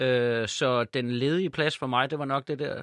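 A man talks at a medium pitch and a very slow pace, his intonation fairly even. The sound is dry and close with no echo, over a quiet background. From Ærø, Denmark. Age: 30s. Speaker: actor and comedian. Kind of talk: casual chat.

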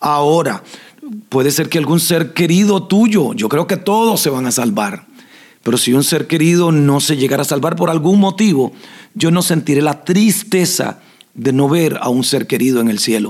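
This man has a normal speaking voice, pitched fairly high, delivered at a moderate pace with lively intonation and very even loudness. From Costa Rica, southern zone. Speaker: pastor and podcast host. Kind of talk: Q&A with spiritual advice.

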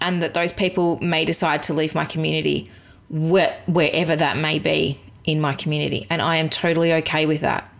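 In a very clean recording with a silent background, a woman with an Australian accent talks at a moderate pace in a fairly low pitch. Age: 30s. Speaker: podcast host, virtual assistant business owner. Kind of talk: solo podcast monologue.

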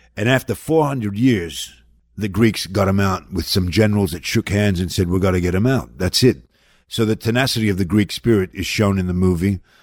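Speaking with an Australian accent, a man with a fairly low pitch moves at a fairly quick pace with lively intonation in a very clean recording with a silent background. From Australia, Melbourne. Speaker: actor. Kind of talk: interview. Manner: candid, profane.

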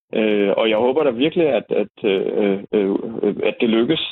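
A man talks at a fairly slow pace. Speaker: author and dream interpreter. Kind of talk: casual chat. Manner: talkative.

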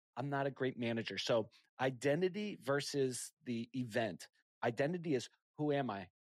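At medium pitch and a moderate pace, a man in a normal speaking voice uses lively intonation, recorded very cleanly with a silent background and a dry, close sound with no echo. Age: 40s. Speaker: entrepreneur and podcast host. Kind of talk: casual interview.

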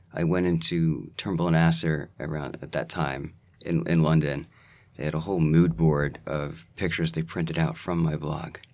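A man with a very deep, low pitch and vocal fry talks at a moderate pace. His intonation is fairly even, on a very clean recording with a silent background. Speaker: James Bond style blogger and podcaster. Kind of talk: casual interview chat. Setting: studio, in person. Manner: hesitant, filler-heavy.

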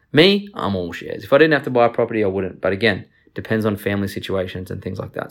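The recording is very clean, with a silent background. A man talks at a very fast pace in an animated tone with lively intonation. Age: 30s. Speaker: finance podcast host, former lawyer. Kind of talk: solo podcast monologue. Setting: at home.

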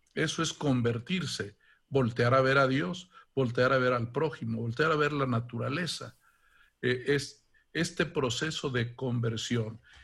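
Using a plain, everyday voice, a man speaks fairly slowly at medium pitch with ordinary pitch variation. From Mexico, Guanajuato. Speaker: archbishop. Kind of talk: interview.

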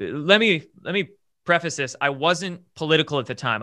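A man talks in an ordinary speaking voice, in a very clean recording with a silent background. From US Pacific Northwest, Bremerton, Washington. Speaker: independent journalist and content creator. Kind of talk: casual interview conversation.

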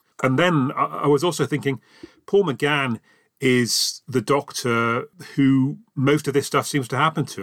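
A man speaks in an ordinary speaking voice at a moderate pace, with ordinary pitch variation. The sound is dry and close, with no echo. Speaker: podcaster and fan. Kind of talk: recorded listener response.

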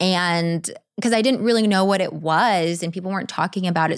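With a normal speaking voice, this speaker talks fairly quickly, showing ordinary pitch variation, captured on a very clean recording against a silent background. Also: woman. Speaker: actress and model. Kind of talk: casual interview chat.

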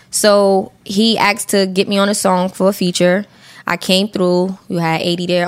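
A woman talks with a Brooklyn accent at a medium pitch. Her intonation stays monotone and flat. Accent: New York (Brooklyn). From Brooklyn, New York. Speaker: rapper. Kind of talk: casual chat.

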